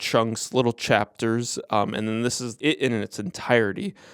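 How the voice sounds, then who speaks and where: A man with an American accent and medium pitch at a moderate pace, with a dry, close sound with no echo on a very clean recording with a silent background. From US Midwest. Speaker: comics video host. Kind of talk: casual review monologue.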